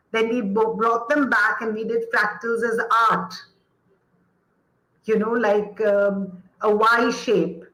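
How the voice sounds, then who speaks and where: A woman's passionate voice, fairly high in pitch. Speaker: educator, former actor. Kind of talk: interview answer.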